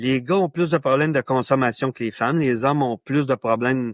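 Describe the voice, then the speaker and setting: This man has a fairly high pitch and a Quebec accent. The background is quiet. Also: dry, close sound with no echo. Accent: Québécois French. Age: 60s. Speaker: author and men's issues pioneer. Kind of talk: podcast interview.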